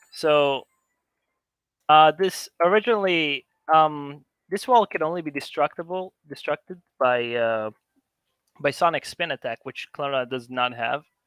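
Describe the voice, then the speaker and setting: A man with an Israeli accent talks at a fairly slow pace in a fairly high voice. His intonation is lively, and the sound is dry and close with no echo. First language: Hebrew. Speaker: conference speaker, game modder. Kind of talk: live demo talk. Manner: casual, halting with fillers.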